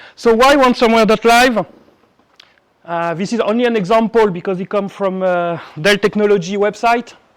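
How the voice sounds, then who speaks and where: A man's high-pitched voice with a French accent, ordinary pitch variation and a moderate pace. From France. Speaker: cybersecurity executive and conference speaker. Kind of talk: conference talk. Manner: halting.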